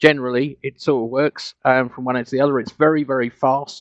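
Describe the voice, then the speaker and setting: A man with a medium-pitched voice and fairly even intonation. The sound is dry and close, with no echo. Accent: British. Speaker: grid owner and programmer presenting at a conference. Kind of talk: conference presentation. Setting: online conference with live audio. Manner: fast; halting, many fillers and restarts.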